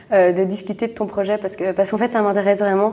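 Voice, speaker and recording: With a medium pitch, a woman delivers her words at a fairly quick pace. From Belgium, Brussels. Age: 20s. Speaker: entrepreneur. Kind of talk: interview. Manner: halting.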